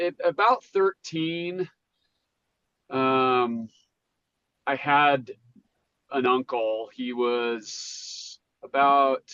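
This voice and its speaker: With an American accent, a man talks very slowly in a fairly high voice, pausing long and often. His pitch varies in an ordinary way. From Utah (St. George). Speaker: recovering addict. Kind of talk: interview testimony. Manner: halting.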